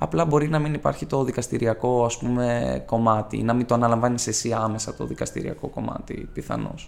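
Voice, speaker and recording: Over noticeable background noise, a man at medium pitch talks at a fairly quick pace. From Greece, Ioannina (Epirus). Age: 20s. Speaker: law student. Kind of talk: casual interview.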